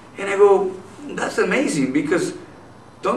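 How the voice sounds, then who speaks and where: Noticeable background noise and audible room echo surround a man who speaks fairly quickly with a Spanish accent. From Nogales, Mexico. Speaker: businessman and activist. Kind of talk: interview.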